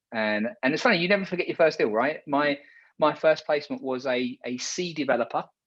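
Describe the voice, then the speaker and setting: Using an English accent, a man speaks at a fairly high pitch and a fairly quick pace, with lively intonation. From England, London. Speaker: recruitment marketing company founder. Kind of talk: interview. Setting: live video show.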